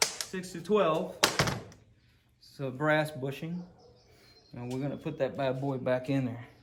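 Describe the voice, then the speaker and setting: Noticeable background noise and audible room echo surround a man speaking at a fairly slow pace. He uses ordinary pitch variation and leaves long, frequent pauses. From Puerto Rico. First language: Spanish. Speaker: VW mechanic and YouTuber. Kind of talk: casual workshop vlog. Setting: garage workshop. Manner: halting, many fillers and repeats.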